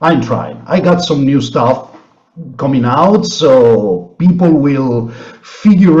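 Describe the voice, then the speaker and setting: A man with an Italian accent, very slow pace, lively intonation, somewhat breathy, with audible room echo. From Italy. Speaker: blues musician. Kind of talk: interview. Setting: video call.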